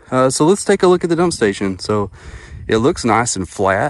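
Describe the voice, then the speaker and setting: With an East Texas accent, a man speaks at a moderate pace with lively intonation, and the sound is dry with no echo. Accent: East Texas Southern American. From northeast Texas (Atlanta, Texas). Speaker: camping YouTuber. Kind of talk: casual vlog narration. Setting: outdoors at a campsite. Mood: playful, joking. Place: forest. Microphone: phone near.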